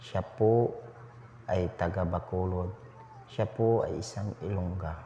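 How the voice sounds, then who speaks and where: A man with a very deep, low voice and a dark, mellow tone speaks very slowly, somewhat breathy, with fairly even intonation. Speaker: vlogger. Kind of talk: vlog voice-over narration.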